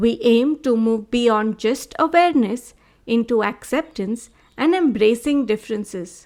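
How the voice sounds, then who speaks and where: On a very clean recording with a silent background, a woman with a plain, everyday voice speaks fairly slowly at a fairly high pitch, with ordinary pitch variation. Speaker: podcast host. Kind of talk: podcast intro.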